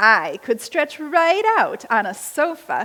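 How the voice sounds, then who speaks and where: A woman performs a put-on character voice, high for a woman. She speaks at a fairly slow pace with very wide pitch swings. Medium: read story.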